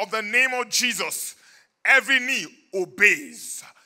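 Over a quiet background, a man speaks in a raised, projected voice with a bright, sharp tone and ordinary pitch variation. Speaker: preacher. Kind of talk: sermon. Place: church. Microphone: handheld.

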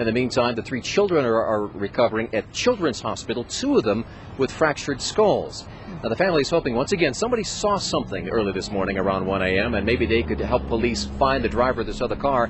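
A man speaks at a very fast pace in a dry sound with no echo, with noticeable background noise. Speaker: TV news reporter. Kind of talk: live news report. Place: street. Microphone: handheld.

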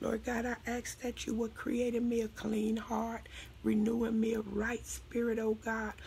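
Over noticeable background noise, a woman speaks fairly slowly in a monotone, flat intonation. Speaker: prayer minister. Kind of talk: speaking in tongues flowing into worshipful prayer.

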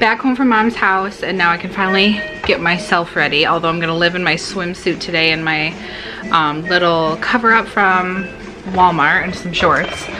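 A woman at a fairly low pitch and moderate pace, with ordinary pitch variation and clear music in the background. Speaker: vlogger. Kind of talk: casual vlog chat. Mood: upbeat, sometimes reflective. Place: home room. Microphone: phone near.

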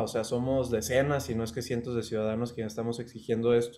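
Man at a medium pitch, fairly quick pace and fairly even intonation. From Mexico. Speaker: law student; interviewee. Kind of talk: interview. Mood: calm, serious. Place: home room.

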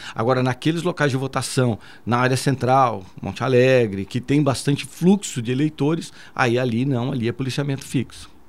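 Recorded very cleanly against a silent background, a man of medium pitch talks at a moderate pace with ordinary pitch variation in a normal speaking voice. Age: 50s. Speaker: military police commander. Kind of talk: radio interview. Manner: formal.

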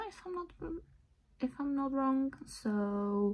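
Her intonation is lively. The woman's voice carries some breathiness. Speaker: vlogger. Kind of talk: casual vlog chat. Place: home room. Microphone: phone near.

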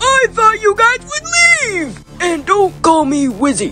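Clear music plays in the background. A put-on character voice with an extremely high pitch speaks at a fairly slow pace. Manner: irritated, shouting.

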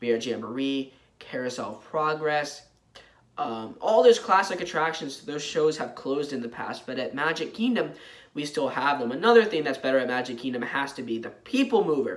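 A man speaks in an animated tone at a moderate pace. The background is quiet. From Florida. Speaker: travel vlogger. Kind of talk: casual review monologue; casual vlog chat. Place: home room. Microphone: phone near.

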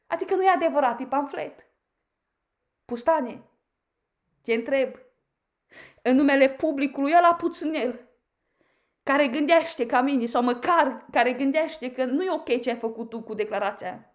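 Animated in tone, the voice keeps a moderate pace with long, frequent pauses and ordinary pitch variation over a quiet background. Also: woman, high pitch for a woman. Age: 30s. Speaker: YouTuber, commentator. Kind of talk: critical video monologue. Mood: indignant, confrontational. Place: home room. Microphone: phone near.

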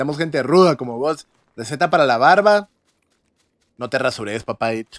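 A man with a Guatemalan accent and a fairly high voice speaks at a fairly quick pace with an animated tone and lively intonation, leaving long, frequent pauses, in a dry sound with no echo and a quiet background. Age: 20s. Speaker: gaming streamer. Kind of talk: live gameplay stream chat. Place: home room.

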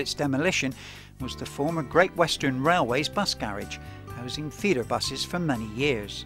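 Music playing behind a man's voice, its pitch varying in an ordinary way. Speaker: documentary narrator. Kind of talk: documentary narration.

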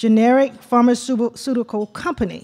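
A woman speaks fairly slowly at a fairly high pitch. Hers is an ordinary speaking voice, recorded very cleanly against a silent background. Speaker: panel moderator and government official. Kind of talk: moderating a conference panel. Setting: stage with audience.

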